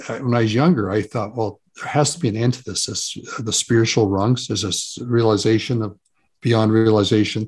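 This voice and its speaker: The voice is somewhat breathy and goes at a moderate pace over a quiet background. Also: man. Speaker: author and psychotherapist. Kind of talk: interview conversation.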